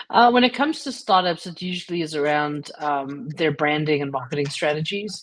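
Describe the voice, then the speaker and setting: Speaking with a South African accent, a woman uses a very deep, low pitch and lively intonation, moving at a fairly quick pace with hardly any pauses. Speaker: creativity and change coach. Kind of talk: interview.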